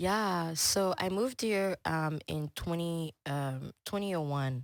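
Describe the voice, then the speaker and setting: On a very clean recording with a silent background, a woman with a French accent speaks very slowly at a fairly low pitch with ordinary pitch variation. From Congo, then Houston from age 12. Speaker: chef and business owner. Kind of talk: podcast interview. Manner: casual, many fillers.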